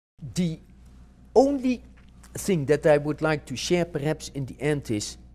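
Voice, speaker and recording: A man with a Dutch accent talks at a fairly slow pace in a fairly high pitch. His intonation is lively, broken by long, frequent pauses. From Netherlands. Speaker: marketing professor. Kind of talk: interview. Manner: halting, frequent self-corrections.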